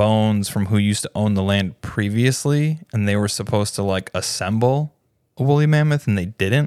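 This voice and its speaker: Over a silent background in a very clean recording, a man uses an ordinary speaking voice, fairly low in pitch, with ordinary pitch variation and a moderate pace. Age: 30s. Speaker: podcast co-host. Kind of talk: casual chat.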